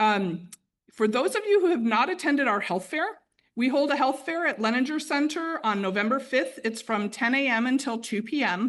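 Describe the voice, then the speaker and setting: A woman talks in a high voice with very wide pitch swings. Her loudness stays very even over a quiet background. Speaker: retirement services benefits staff presenter. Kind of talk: informational presentation. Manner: fast.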